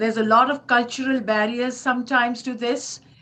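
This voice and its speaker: The speaker is a woman with a high pitch. Noticeable background noise is present. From Pakistan. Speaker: state legislator on a panel. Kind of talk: panel discussion. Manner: halting.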